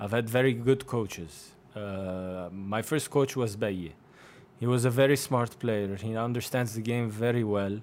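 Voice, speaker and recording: A man talks at a moderate pace and medium pitch with ordinary pitch variation. It is a normal speaking voice. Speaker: professional basketball player. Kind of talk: casual interview.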